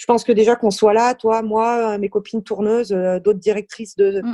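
In a dry, close sound with no echo, a woman speaks at a fairly high pitch and a fairly slow pace, with a dark, mellow tone and monotone, flat intonation. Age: 30s. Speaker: concert venue programmer. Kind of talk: casual interview.

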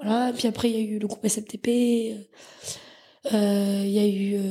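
A woman speaks with a fairly high pitch and a dark, mellow tone. Her voice is somewhat breathy, with fairly even intonation. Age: 20s. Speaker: startup founder and CEO. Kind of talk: casual interview.

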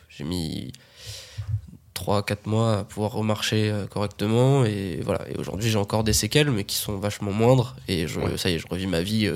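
This man talks at a moderate pace with a fairly low pitch. His pitch varies in an ordinary way, and it is an unremarkable speaking voice. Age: 20s. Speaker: podcast guest. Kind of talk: casual chat.

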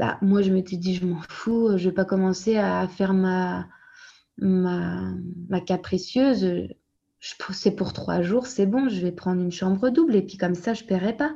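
The voice is somewhat breathy with a dark, mellow tone, ordinary pitch variation and a fairly slow pace. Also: woman, medium pitch for a woman, quiet background. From France. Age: 30s. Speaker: young mother of a premature baby. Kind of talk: testimony. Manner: halting.

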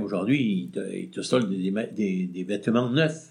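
Against audible room echo, a man with a fairly low pitch and vocal fry speaks at a fairly slow pace with lively intonation. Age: 60s. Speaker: retired shopkeeper, former traders' association president. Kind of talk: interview. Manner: halting.

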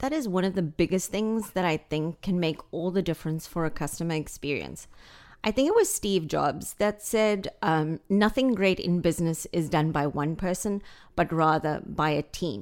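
Fairly low pitch from a woman, on a very clean recording against a silent background. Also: ordinary pitch variation, moderate pace. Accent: South African. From South Africa. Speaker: real estate agent. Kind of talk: casual chat. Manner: witty, warm.

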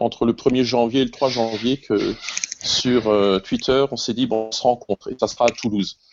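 Amid noticeable background noise, a man speaks at a medium pitch with fairly even intonation. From Alsace, France (Colmar). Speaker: music teacher. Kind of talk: casual chat.

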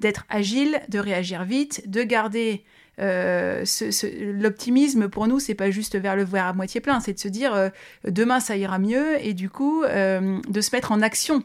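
A woman speaks at medium pitch in a normal speaking voice. Her fairly slow pace comes through in a very clean recording with a silent background. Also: ordinary pitch variation. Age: 30s. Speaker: business executive. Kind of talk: interview.

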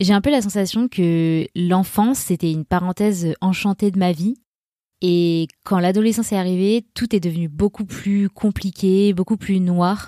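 A woman speaks with a dark, mellow tone at a medium pitch, her loudness very even. Her intonation is fairly even, and the sound is dry and close with no echo. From France, Grenoble. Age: 30s. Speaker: podcast host. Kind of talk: personal testimony.

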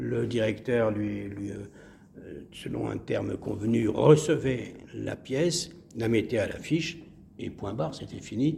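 There is audible room echo as a man speaks at a very slow pace. He leaves long, frequent pauses. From Marseille, southern France. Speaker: actor and playwright. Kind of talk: interview. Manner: halting, repeats words.

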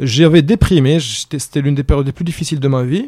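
This is a plain, everyday voice, a man's at a fairly high pitch, moving at a fairly quick pace with ordinary pitch variation in a dry, close sound with no echo. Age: young. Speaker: entrepreneur. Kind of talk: casual chat.

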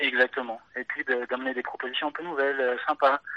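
A man talks at a fairly quick pace with a fairly high pitch and monotone, flat intonation, in a dry, close sound with no echo. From France, Auvergne countryside near Clermont-Ferrand. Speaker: watch development engineer. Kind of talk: casual interview. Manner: halting, many repetitions.

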